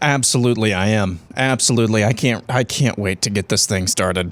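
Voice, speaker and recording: A man's normal speaking voice, fairly low in pitch with ordinary pitch variation, at a fairly quick pace with very even loudness, in a very clean recording with a silent background. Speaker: podcast co-host.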